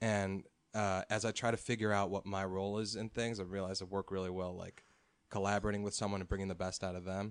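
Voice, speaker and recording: A man with an American accent speaks very fast in a flat monotone at a fairly low pitch. The background is quiet. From US Midwest, Chicago North Shore. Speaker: musician and producer. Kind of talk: casual chat.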